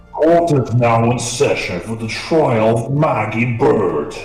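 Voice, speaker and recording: Over clear music in the background and with slight echo, a man at medium pitch performs a put-on character voice at a fairly slow pace. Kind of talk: formal, authoritative.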